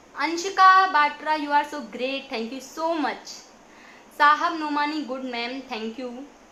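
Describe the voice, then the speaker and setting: A woman speaks in a raised, projected voice with a bright, sharp tone and high pitch, her loudness swinging widely. She talks at a very slow pace, and the room echo is audible. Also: ordinary pitch variation. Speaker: poet. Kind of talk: live stream chat thanking viewers.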